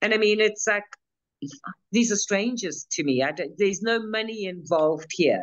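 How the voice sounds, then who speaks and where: The pitch varies in an ordinary way. The pace is moderate. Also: woman, medium pitch for a woman. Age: 60s. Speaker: financial abuse expert, mentor. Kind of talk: interview. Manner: halting, many repeated words.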